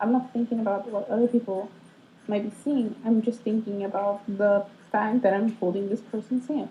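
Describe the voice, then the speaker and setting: Somewhat breathy with a dark, mellow tone, a woman speaks at a fairly high pitch and moderate pace with fairly even intonation. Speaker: vlogger. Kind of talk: casual vlog monologue. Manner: rambling, hesitant with many ums.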